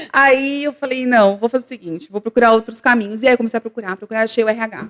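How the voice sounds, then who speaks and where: Very fast and fairly even in intonation, a woman speaks at a fairly high pitch in a dry, close sound with no echo. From Brazil, São Paulo city (East Zone, Tatuapé). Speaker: recruitment firm director, HR specialist. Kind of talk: podcast interview, casual chat.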